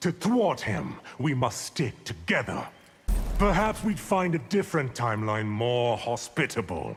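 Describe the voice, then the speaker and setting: A man puts on a character voice at medium pitch, swinging very widely in pitch at a moderate pace. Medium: video game. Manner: smooth, arrogant, condescending.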